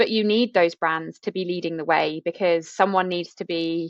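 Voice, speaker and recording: In a British accent, a woman with a fairly low pitch speaks at a fairly quick pace. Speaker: podcast host. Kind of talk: podcast conversation.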